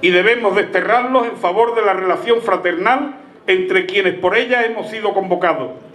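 A man's warm voice with ordinary pitch variation, light background noise and audible room echo. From Málaga province, Spain. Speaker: festival proclamation speaker, former mayor and teacher. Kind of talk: formal ceremonial pregón, a solemn, rhetorical speech read to a festival crowd. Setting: stage with audience at an outdoor village festival. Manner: solemn, measured and eloquent, with orotund rhetorical cadence; warm, celebratory address to the crowd, rising to a festive call at the close. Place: stage. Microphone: handheld.

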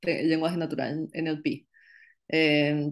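In a quiet background, a woman speaks with a very deep, low pitch. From Peru, Iquitos (Amazon region); Peru. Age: 20s. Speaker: tech startup cofounder; interviewee. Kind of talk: interview. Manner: hesitant, many fillers. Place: home room. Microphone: video call.

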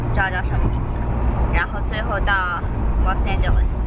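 Over loud background noise, a woman's voice comes through with a dry sound and no echo. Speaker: travel vlogger. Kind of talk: casual vlog chat. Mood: relaxed, cheerful. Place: car. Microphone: phone near.

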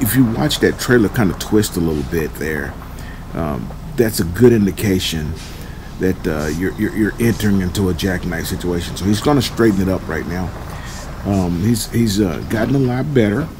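Over noticeable background noise, a man with a very deep, low voice talks at a moderate pace. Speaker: truck driver trainer. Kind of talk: commentary. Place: car. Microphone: phone near.

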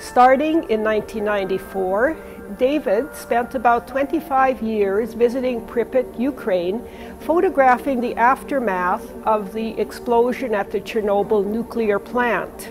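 Over clear music in the background, a woman speaks at a very slow pace. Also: ordinary pitch variation. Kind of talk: exhibition tour presentation. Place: hall. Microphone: lapel.

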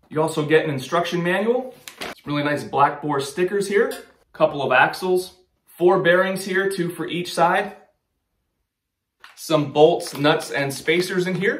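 A high-pitched man at a fairly slow pace, ordinary pitch variation, long, frequent pauses, light background noise and audible room echo. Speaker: outdoor gear channel host. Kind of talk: product unboxing tutorial. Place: studio.

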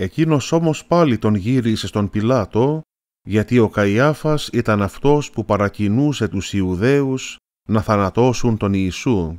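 At a fairly slow pace, an unremarkable speaking voice with lively intonation comes through a very clean, dry, close recording with no echo and a silent background. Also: man, fairly low pitch for a man. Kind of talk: religious catechism talk. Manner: formal.

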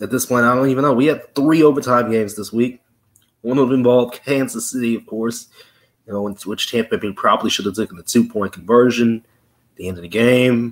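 A man speaks fairly quickly, with ordinary pitch variation, against a quiet background. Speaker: sports show host. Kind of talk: sports commentary. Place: home room. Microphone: webcam.

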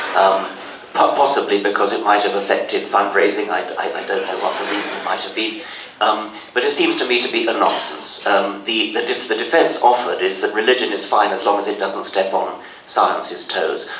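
The speech moves at a moderate pace. Light background noise and audible room echo are present. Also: man. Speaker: speaker. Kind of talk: interview answer. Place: hall. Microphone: podium.

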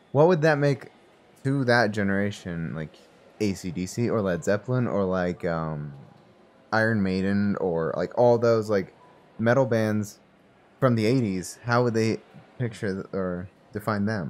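A man with a fairly low pitch and ordinary pitch variation speaks at a fairly slow pace, leaving long, frequent pauses. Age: 20s. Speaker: podcast co-host. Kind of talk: casual chat. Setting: studio.

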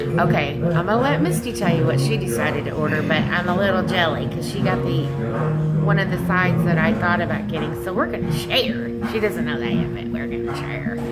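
A woman speaks at a fairly quick pace over loud music in the background. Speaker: vlogger reviewing a restaurant. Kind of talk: casual vlog chat. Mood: cheerful, playful. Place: cafe. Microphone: phone near.

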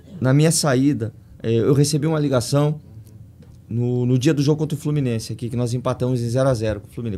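Very fast and fairly even in intonation, a man speaks. His tone is dark and mellow. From Paraná, Brazil (Curitiba); Paraná, Brazil. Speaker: football coach. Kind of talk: podcast interview. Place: studio. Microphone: studio mic.

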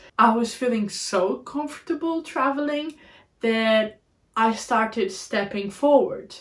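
Speaking in a Portuguese accent, a woman has a fairly high pitch and ordinary pitch variation. She goes at a fairly slow pace against a quiet background. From Portugal, Algarve border town; Portugal. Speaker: travel vlogger. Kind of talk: podcast monologue. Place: home room.

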